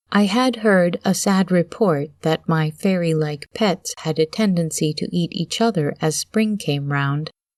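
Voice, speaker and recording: A soft-spoken woman with a fairly low pitch and ordinary pitch variation, at a fairly slow pace with hardly any pauses, in dry, close sound with no echo and a quiet background. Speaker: audiobook narrator. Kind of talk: reading aloud.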